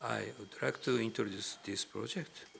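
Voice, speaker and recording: A man is speaking. He talks with a Japanese accent. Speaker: professor. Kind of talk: lecture. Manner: halting.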